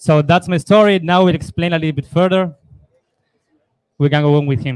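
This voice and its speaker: A speaker with an Argentine accent talks at a fairly quick pace with ordinary pitch variation, broken by long, frequent pauses. The sound is dry and close, with no echo. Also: man. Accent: Argentine Spanish, noticeable. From Argentina. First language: Spanish. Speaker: lightning developer and entrepreneur. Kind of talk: panel discussion.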